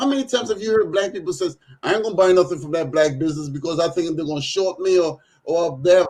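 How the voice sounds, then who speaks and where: A man with a high pitch talks at a very fast pace. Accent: Trinidadian. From Trinidad. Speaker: local business owner, talk show panelist. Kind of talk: casual chat. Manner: animated.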